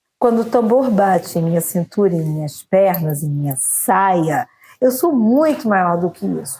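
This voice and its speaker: At medium pitch and a fairly slow pace, a woman speaks with a dark, mellow tone, somewhat breathy, swinging her pitch very widely. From Brazil, Campos (Rio de Janeiro state). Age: 50s. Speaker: poet, actress and singer. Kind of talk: interview.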